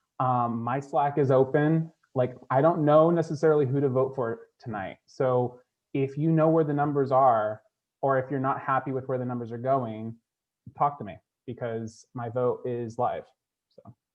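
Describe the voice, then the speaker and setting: Man with a normal speaking voice at a moderate pace, with big swings in loudness. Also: medium pitch for a man, fairly even intonation. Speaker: reality game contestant. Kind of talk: casual chat.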